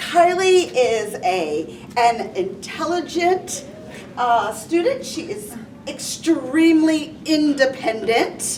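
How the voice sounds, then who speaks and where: A woman speaks very slowly in a high voice with very wide pitch swings, amid noticeable background noise and audible room echo. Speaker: dance teacher. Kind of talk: award speech. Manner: animated.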